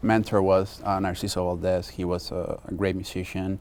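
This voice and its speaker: With a Spanish accent and vocal fry, the speaker moves at a moderate pace with ordinary pitch variation. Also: man. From Mexico. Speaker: film composer. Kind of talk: interview. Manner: halting.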